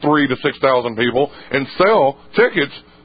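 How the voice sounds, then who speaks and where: A man's unremarkable speaking voice, fairly quick, with ordinary pitch variation. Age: 20s. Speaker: wrestling podcast co-host. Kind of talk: casual chat.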